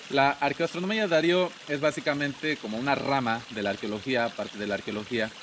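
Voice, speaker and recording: Lively intonation at a fairly quick pace, over noticeable background noise. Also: man, fairly high pitch for a man. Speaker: tour guide. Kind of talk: interview. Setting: outdoor cabins venue in Palenque.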